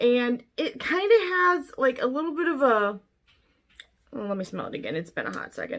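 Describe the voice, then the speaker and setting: A raised, projected voice with a bright, sharp tone comes through at a moderate pace. Its pitch swings are very wide. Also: woman. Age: 30s. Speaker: beauty vlogger. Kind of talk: product review. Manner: casual, chatty.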